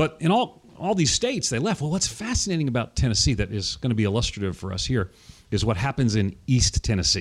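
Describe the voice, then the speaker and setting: A man's medium-pitched, somewhat breathy voice at a very fast pace with very wide pitch swings. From US Northeast, Long Island, New York. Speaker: pastor and author. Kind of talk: theological interview discussion. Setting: studio.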